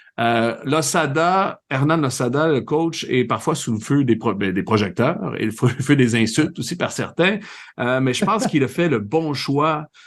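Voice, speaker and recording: Quiet background behind a man with a slight Laurentides accent, fairly high pitch, lively intonation and a fairly slow pace. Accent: Saint-Jérôme Quebec accent, slight. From Quebec, Saint-Jérôme. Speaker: soccer podcast host and TV commentator. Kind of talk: casual podcast chat.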